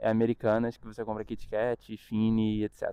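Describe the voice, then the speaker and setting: A man speaks at a fairly quick pace. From Brazil, Rio de Janeiro. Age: 20s. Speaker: student vlogger. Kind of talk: casual vlog monologue.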